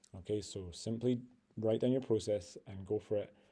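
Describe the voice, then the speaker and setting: A man speaks in a dark, mellow tone, somewhat breathy, with fairly even intonation. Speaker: physics teacher. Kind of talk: tutorial. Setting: screen recording. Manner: fast.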